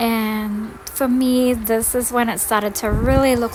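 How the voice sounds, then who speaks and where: Noticeable background noise is audible throughout. A woman talks over it at a moderate pace. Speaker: gardening vlogger. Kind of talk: casual garden tour tutorial.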